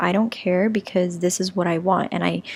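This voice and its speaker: Here is an ordinary speaking voice from a woman at medium pitch. She keeps a moderate pace with fairly even intonation. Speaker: tarot reader. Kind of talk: tarot reading monologue.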